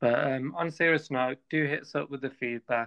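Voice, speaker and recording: This man speaks at a medium pitch and a fairly slow pace. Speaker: podcast co-host. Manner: monotone.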